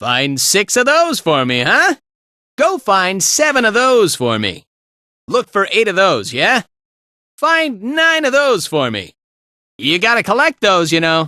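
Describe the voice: A man uses a put-on character voice, high-pitched and bright and sharp in tone, with very wide pitch swings at a fairly slow pace. The recording is very clean, with a silent background and a dry, close sound with no echo.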